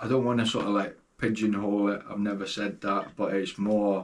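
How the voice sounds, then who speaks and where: A man with a Scottish accent, fairly low pitch and moderate pace. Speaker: DJ and record label owner. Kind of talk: podcast interview answer.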